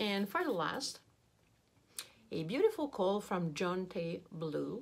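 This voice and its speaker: A woman with a slight French accent speaks very slowly at a medium pitch, her intonation lively. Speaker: beauty youtuber. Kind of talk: product unboxing review. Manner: animated.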